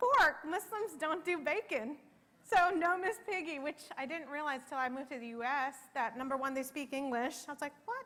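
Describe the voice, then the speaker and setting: The voice is raised and projected, with lively intonation. It moves at a moderate pace. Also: woman, high pitch for a woman. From Middle East and Pakistan, then US from age ten. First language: Arabic. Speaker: keynote speaker. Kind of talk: keynote speech.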